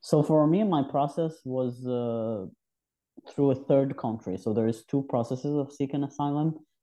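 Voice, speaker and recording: A man speaks at a moderate pace in a fairly high pitch with ordinary variation and a dark, mellow tone. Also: quiet background. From Algeria. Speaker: artist. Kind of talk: interview.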